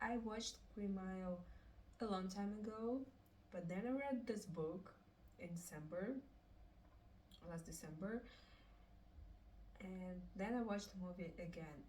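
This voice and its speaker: Speaking with a Russian accent at a fairly slow pace, a woman leaves long, frequent pauses, her medium pitch showing ordinary variation amid audible room echo. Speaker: book reviewer. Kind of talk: casual book review. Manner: halting, with fillers.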